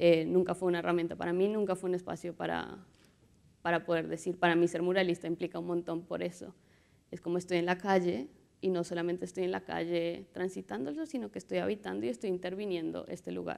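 At a very fast pace, a woman speaks in a fairly low voice with ordinary pitch variation. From Colombia. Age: 30s. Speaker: visual artist and muralist; speaker. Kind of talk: conference talk. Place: hall. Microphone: lapel.

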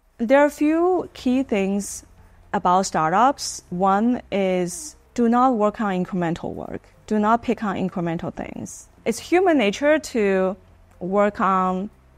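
Ordinary pitch variation marks this woman's very slow delivery. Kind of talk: interview answer. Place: office.

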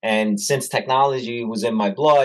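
Against a quiet background, someone talks at a moderate pace. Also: man. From US (born in Italy, moved at six). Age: 40s. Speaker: technology business founder and author. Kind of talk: interview. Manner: casual. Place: office. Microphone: webcam.

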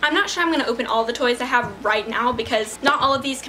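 A woman's high-pitched voice, very fast, with ordinary pitch variation and light background noise. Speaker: pet vlogger. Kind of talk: casual vlog chat. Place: home room.

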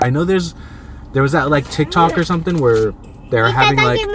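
A man speaks with a dry sound with no echo over noticeable background noise. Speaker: family vlogger. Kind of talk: casual mukbang vlog chat. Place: car.

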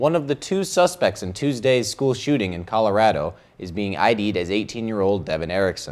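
This man's intonation is lively and his pace fairly quick. Music plays in the background. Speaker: student news anchor. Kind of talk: news reading. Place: studio. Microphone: lapel.

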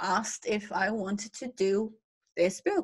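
A woman talks at a very slow pace. The background is quiet. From Netherlands. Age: 40s. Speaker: fantasy artist; panelist. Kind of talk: casual panel conversation. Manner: laughs often. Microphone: video call.

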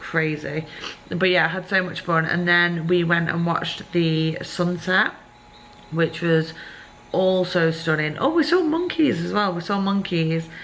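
Speaking in an ordinary speaking voice, a woman talks at a fairly slow pace and a fairly low pitch, with ordinary pitch variation and light background noise. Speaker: travel vlogger. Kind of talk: casual vlog chat. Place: home room. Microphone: phone near.

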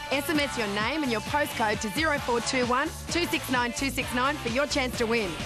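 A woman talks with hardly any pauses while music plays clearly in the background. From Australia. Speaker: TV presenter and fitness expert. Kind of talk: TV promo / commercial read. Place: open country.

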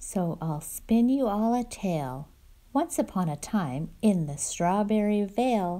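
Intonation in the clip is lively. The speaker uses a natural reading voice.

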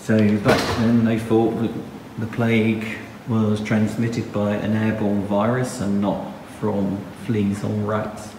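A man speaks slowly with few pauses, his fairly low voice slightly mellow in tone and showing little pitch movement. Faint background noise is present.

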